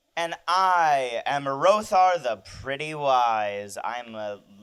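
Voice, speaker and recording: A man does a put-on character voice at a fairly high pitch. He goes very slowly, in a very clean recording with a silent background. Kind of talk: improv comedy talk show. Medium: role play.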